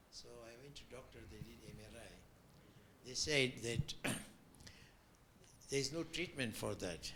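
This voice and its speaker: At a fairly slow pace, a man talks with vocal fry, a medium pitch and a bright, sharp tone. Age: 80s+. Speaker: audience member. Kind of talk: audience question.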